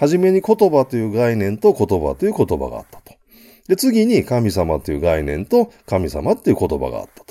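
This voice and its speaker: In a dry, close recording with no echo, a man speaks at a moderate pace with big swings in loudness. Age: 50s. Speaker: business consultant. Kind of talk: solo business lecture. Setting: home studio. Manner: many filler sounds.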